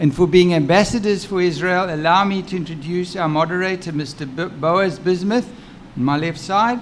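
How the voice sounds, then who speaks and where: A man with a Rhodesian accent speaks at a high pitch and moderate pace, with ordinary pitch variation. Noticeable background noise and audible room echo surround him. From Rhodesia (Zimbabwe). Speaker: physician, session presenter. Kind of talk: formal introduction. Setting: conference stage with audience.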